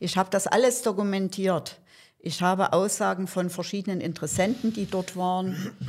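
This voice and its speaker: On a very clean recording with a silent background, a normal speaking voice keeps a moderate pace and fairly even intonation. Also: woman, medium pitch for a woman. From Saxony, Germany. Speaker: animal welfare volunteer. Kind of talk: interview.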